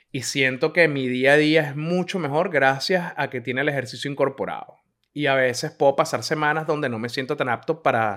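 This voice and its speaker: The recording is very clean with a silent background, carrying a man with a plain, everyday voice. He talks at a fairly quick pace with a fairly high pitch and ordinary pitch variation. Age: 30s. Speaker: podcaster. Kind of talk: casual monologue.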